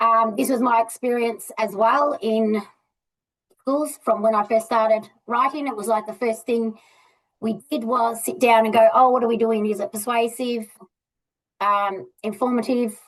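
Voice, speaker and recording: With an Australian accent, a woman talks at a moderate pace and fairly high pitch, keeping her intonation fairly even. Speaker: literacy educator. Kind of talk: presentation.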